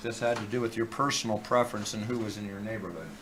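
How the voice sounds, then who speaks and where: A man's voice carries audible room echo, with music playing in the background. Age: 60s. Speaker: live streamer. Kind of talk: casual rant on live stream. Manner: animated.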